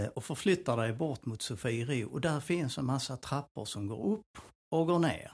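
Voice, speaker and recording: A man speaks at a moderate pace with lively intonation and a somewhat breathy voice. The recording is very clean, with a silent background. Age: 60s. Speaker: personal trainer. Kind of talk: casual chat.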